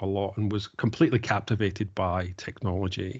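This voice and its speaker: A man's fairly low voice in a Glaswegian accent, with fairly even intonation and a fairly quick pace. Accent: Glaswegian Scottish. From Scotland, Glasgow. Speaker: tech business leader. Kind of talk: podcast interview.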